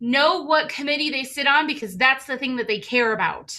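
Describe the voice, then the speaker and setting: Using a raised, projected voice, a woman speaks at a moderate pace in a high pitch with a bright, sharp tone and ordinary pitch variation. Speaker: community advocate. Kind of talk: casual comment in online training. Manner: animated, halting.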